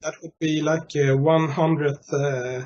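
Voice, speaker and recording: Speaking with a Swedish accent, a man keeps to a fairly slow pace. His pitch is fairly high, his intonation flat and monotone. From Sweden. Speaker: interviewer, conspiracy theorist group admin. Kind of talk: casual interview. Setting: Skype call. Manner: halting, many fillers.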